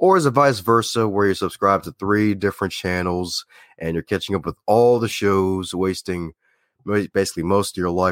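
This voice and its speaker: A man with an American accent speaks at a moderate pace in a fairly low voice with ordinary pitch variation, and he has a normal speaking voice. The very clean recording has a silent background and a dry, close sound with no echo. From Baltimore, Maryland. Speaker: public speaker and podcast guest. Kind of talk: casual interview chat.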